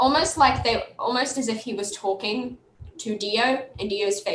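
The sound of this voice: The speaker reads in an unforced reading voice, showing ordinary pitch variation.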